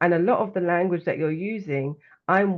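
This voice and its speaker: A fairly quick, fairly even delivery in a London accent. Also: woman. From London, England. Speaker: well-being coach and author. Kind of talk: interview conversation.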